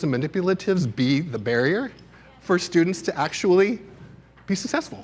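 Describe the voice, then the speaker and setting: A man speaks loudly in a passionate tone at a moderate pace, his pitch swinging very widely. The recording is very clean with a silent background. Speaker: keynote speaker, education administrator. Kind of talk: keynote presentation. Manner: loud, passionate.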